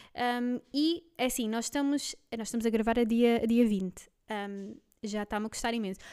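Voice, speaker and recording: At a moderate pace, a woman speaks in a fairly high pitch with ordinary variation and a dark, mellow tone on a very clean recording with a silent background. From Belgium. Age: 20s. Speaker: podcast co-host, office worker. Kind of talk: casual chat.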